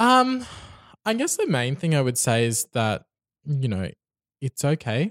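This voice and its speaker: In a very clean recording with a silent background and a dry, close sound with no echo, a man with an Australian accent speaks at a fairly slow pace, with very wide pitch swings and long, frequent pauses. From Brisbane, Australia. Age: young. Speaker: podcast guest. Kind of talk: casual interview. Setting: studio.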